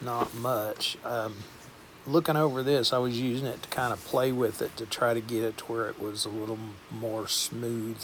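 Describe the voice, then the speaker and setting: A man with a Southern US accent speaks in a relaxed tone at a medium pitch. His intonation is monotone and flat, with noticeable background noise behind him. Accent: Southern US drawl. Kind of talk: casual voiceover walkthrough. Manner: relaxed, rambling.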